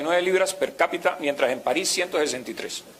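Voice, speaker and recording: This man speaks with a Latin American accent, at a fairly quick pace and a high pitch. Noticeable background noise runs underneath. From Colombia. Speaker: university professor. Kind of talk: conference lecture. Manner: conversational, hesitant.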